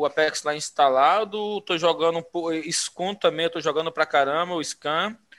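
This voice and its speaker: In a very clean recording with a silent background, a man speaks at a high pitch with a bright, sharp tone. His intonation is fairly even. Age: 30s. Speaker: podcast guest, gamer. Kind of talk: casual chat. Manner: halting, repeats words.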